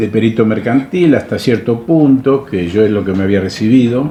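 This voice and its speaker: Over noticeable background noise, a man speaks in a Rioplatense accent. His pitch is medium with ordinary variation. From Argentina, Buenos Aires. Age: 80s+. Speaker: retired salesman. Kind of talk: interview.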